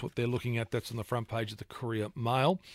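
In an Australian accent, the voice comes through a very clean recording with a silent background and a dry, close sound with no echo. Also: man. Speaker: radio host. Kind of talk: newspaper review on talk radio. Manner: frequent filler hesitations.

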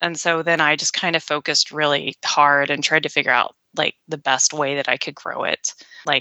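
The woman's pitch is very deep and low. She keeps a moderate pace with fairly even intonation. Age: 40s. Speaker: former nurse practitioner and business owner. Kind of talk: interview.

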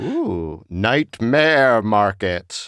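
A man speaks in a put-on character voice at a medium pitch, recorded very cleanly against a silent background. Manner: spooky, creepy.

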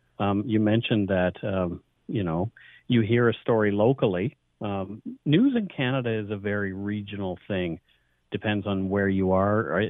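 In an unremarkable speaking voice, a man talks at a moderate pace with a fairly low pitch and fairly even intonation. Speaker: podcast host. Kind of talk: radio interview.

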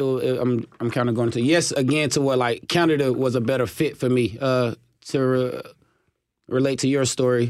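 A man with a Southern US accent talks at a moderate pace and medium pitch. His loudness is very even and his intonation fairly even. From US South, Chattanooga, Tennessee. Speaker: professional football player. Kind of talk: radio interview. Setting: studio.

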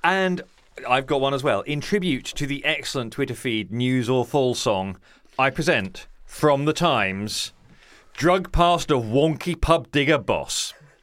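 An unremarkable speaking voice from a man, fairly high-pitched, with lively intonation and a fairly slow pace. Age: 40s. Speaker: podcast host. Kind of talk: scripted narration; casual chat.

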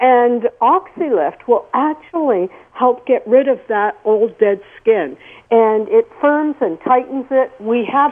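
Her voice high, a woman gets her words out at a fairly slow pace. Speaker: skincare product founder. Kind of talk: radio interview. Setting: phone call.

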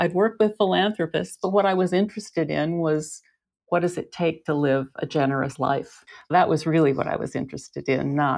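Speaking at a moderate pace, a woman has a very deep, low pitch with ordinary pitch variation. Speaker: author. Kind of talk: casual chat.

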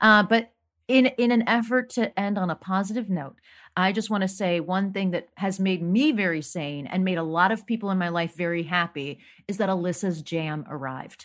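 This is an ordinary speaking voice from a woman at a medium pitch. She talks at a moderate pace with ordinary pitch variation. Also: very clean recording, silent background. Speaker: panelist. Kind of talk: panel discussion.

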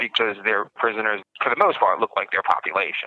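A man speaks with a New York accent. The sound is dry and close, with no echo. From Brooklyn, New York. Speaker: podcast host, writer and prisoner. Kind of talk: interview. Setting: prison phone call.

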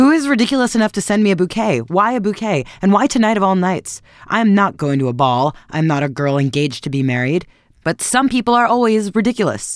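A man uses a put-on character voice, high-pitched and shrill. He speaks at a very fast pace in a raised, projected voice with very wide pitch swings. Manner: indignant, angry.

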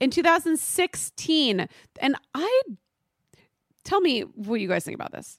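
With a Californian accent, a woman talks at a high pitch and fairly slow pace, with very wide pitch swings, big swings in loudness and long, frequent pauses, in a dry, close sound with no echo. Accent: US West Coast, valley girl. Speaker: podcast host. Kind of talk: casual chat.

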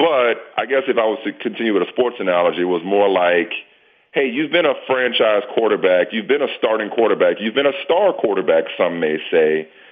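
A man with a normal speaking voice, medium in pitch, at a fairly quick pace with lively intonation. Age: 40s. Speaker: sports TV anchor and media executive. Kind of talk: casual interview.

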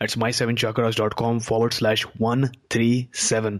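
An energetic man at medium pitch, with noticeable background noise. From India. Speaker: podcast host. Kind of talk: interview. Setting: studio microphone.

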